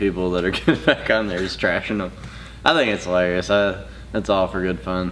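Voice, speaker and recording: Noticeable background noise accompanies a man with a Southern US accent who talks at a very fast pace. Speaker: jiu-jitsu instructor and YouTuber. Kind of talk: casual chat.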